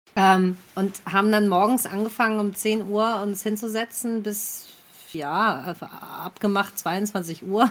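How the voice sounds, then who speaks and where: A woman talks very slowly, her medium pitch held in fairly even intonation. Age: 30s. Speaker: actress. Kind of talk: casual chat.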